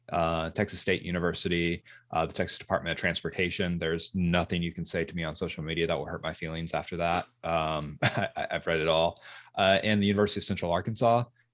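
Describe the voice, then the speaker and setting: Very deep and low in pitch, a man with a Southern US accent speaks at a very fast pace with fairly even intonation. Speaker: social media manager. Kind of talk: podcast interview. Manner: halting, many repetitions and fillers.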